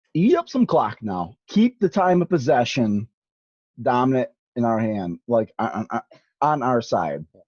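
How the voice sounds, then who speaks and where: Loud and animated, a man speaks at a fairly slow pace with a medium pitch that swings very widely, dry and close with no echo over a quiet background. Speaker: sports commentator. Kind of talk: casual chat.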